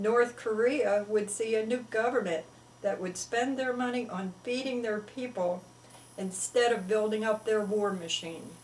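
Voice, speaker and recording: A woman with an American accent speaks at a fairly slow pace and fairly high pitch, with ordinary pitch variation and noticeable background noise. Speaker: children's story writer. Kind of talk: religious talk to camera.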